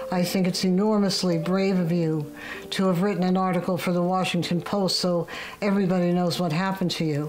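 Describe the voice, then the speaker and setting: A woman with an American accent speaks at a fairly quick pace in a fairly low, monotone voice with flat intonation and very even loudness, amid noticeable background noise and audible room echo. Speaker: social media user. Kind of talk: testimony.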